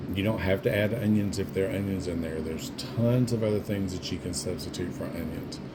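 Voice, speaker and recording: A fairly low-pitched man with a Southern US accent, fairly quick with hardly any pauses and ordinary pitch variation, amid noticeable background noise and audible room echo. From US South. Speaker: home cook, former food service worker. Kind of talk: cooking tutorial. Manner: casual, conversational.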